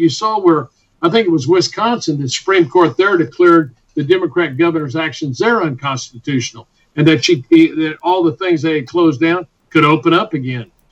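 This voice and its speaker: High-pitched for a man, this Texan-accented speaker talks at a fairly quick pace with lively intonation. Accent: Texan Southern US. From Texas. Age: 60s. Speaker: physician and clinic founder. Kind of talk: radio interview. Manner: animated.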